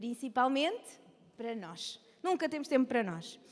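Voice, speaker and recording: A woman's animated tone with lively intonation. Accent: European Portuguese. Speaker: women's ministry speaker. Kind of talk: lecture. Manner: fast.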